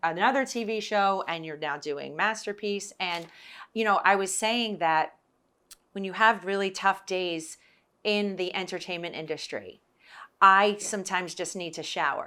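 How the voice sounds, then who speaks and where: A woman's medium-pitched voice with a bright, sharp tone, a New Jersey accent, a moderate pace and ordinary pitch variation, on a very clean recording with a silent background. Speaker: podcast host, former TV producer. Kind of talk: casual interview chat. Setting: on location in Baltimore.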